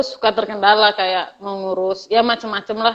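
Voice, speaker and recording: A woman's fairly high voice at a moderate pace, with monotone, flat intonation. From Medan, North Sumatra. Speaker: university alumna who moved away for work. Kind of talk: casual interview chat.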